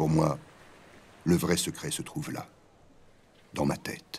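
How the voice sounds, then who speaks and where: A man at a fairly slow pace with a very deep, low pitch. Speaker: voice-over narrator. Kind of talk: documentary narration.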